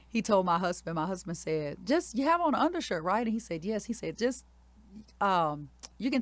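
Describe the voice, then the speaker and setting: In a Louisiana accent, a woman with a medium pitch talks at a fairly quick pace, her pitch swinging very widely. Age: 40s. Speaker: elementary school principal. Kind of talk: interview storytelling.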